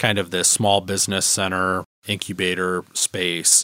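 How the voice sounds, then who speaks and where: At a moderate pace, a man with an Upper Midwest accent speaks, recorded dry and close with no echo. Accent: Upper Midwest American. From Michigan, the Thumb area. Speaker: village manager. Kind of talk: interview. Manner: halting, filler-heavy.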